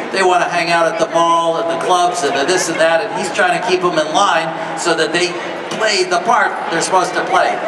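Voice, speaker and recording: A man speaks at a fairly quick pace. There is noticeable background noise behind him. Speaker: panel host or producer. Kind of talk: panel talk. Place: hall.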